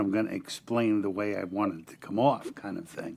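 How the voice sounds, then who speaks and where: A man speaks with a New York accent and ordinary pitch variation. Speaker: indie singer-songwriter. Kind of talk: casual panel chat.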